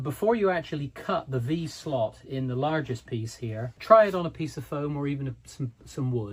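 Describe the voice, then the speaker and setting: At a moderate pace with hardly any pauses, a man talks in a somewhat breathy, fairly high voice with lively intonation. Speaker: model railway hobbyist YouTuber. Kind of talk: tutorial. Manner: relaxed, conversational with fillers.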